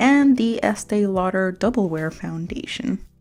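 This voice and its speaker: A woman talks at a medium pitch with lively intonation. Noticeable background noise runs behind her. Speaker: beauty vlogger. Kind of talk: makeup tutorial. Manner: slower than usual; quieter than usual.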